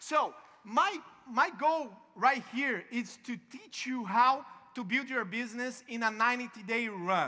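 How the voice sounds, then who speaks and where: This man's voice sits extremely high and is raised and projected. He talks at a fairly slow pace with ordinary pitch variation. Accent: Brazilian Portuguese. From Brazil. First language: Portuguese. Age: young. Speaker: network marketing speaker. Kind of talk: motivational talk. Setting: stage with audience. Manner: halting.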